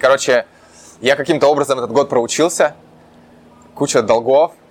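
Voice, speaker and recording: A man's voice sits fairly high with ordinary pitch variation. There is noticeable background noise behind him. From Russia, Urals (Chelyabinsk region). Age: 20s. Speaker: entrepreneur. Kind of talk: interview. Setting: Santa Monica, California.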